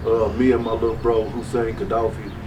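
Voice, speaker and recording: There is noticeable background noise and audible room echo as a man talks at a moderate pace with a medium pitch. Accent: American. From West Texas. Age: 40s. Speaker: music label owner. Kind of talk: interview. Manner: halting, with many fillers.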